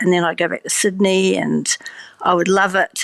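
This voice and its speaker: A woman speaks with monotone, flat intonation. The sound is dry and close with no echo, and the recording is very clean with a silent background. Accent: New Zealand. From New Zealand, small town. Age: 60s. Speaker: vegan cheese producer, former scientist. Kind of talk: interview. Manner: casual, many fillers.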